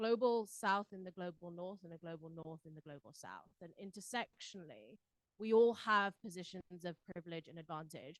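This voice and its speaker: Recorded dry and close with no echo, the speaker has a British accent and ordinary pitch variation. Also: woman. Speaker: panelist at a civil society forum. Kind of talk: panel discussion. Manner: frequent fillers and repetitions.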